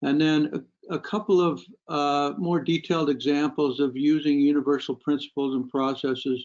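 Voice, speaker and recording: A man speaks at a moderate pace with a fairly high pitch. His pitch varies in an ordinary way. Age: 60s. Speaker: psychologist. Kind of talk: webinar lecture. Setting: online webinar. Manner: halting, many fillers.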